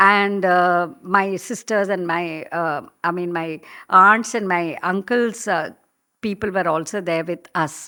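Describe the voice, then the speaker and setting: A very slow voice in a Tamil accent, bright and sharp in tone with fairly even intonation, in a very clean recording with a silent background. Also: woman, medium pitch for a woman. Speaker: professional storyteller. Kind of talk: interview. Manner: hesitant, many fillers.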